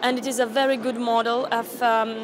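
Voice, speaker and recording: A woman with a Romanian accent speaks at a fairly high pitch with fairly even intonation over noticeable background noise. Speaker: youth delegate. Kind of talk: interview.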